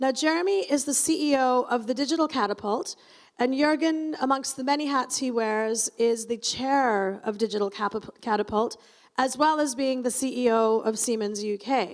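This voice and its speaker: Loud and high-pitched, a woman talks at a moderate pace. The recording is very clean, with a silent background. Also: ordinary pitch variation. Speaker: conference moderator. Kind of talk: event moderation to live audience. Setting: stage with audience. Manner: chatty, animated.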